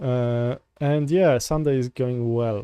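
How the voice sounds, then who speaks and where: With a Polish accent, a man speaks at a medium pitch in a dark, mellow tone. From Poland. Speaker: software developer streamer. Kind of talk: live coding stream chat. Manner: halting, many fillers and restarts.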